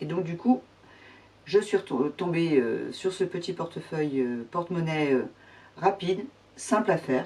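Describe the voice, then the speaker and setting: A woman speaks at a fairly slow pace with very wide swings in pitch. Noticeable background noise runs underneath. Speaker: sewing vlogger. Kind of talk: casual tutorial vlog. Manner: hesitant, many fillers.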